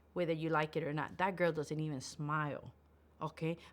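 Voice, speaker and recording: On a very clean recording with a silent background, a woman's tone is animated. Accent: American. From South Central Los Angeles. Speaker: makeup academy founder and business coach. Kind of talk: livestream presentation. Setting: livestream.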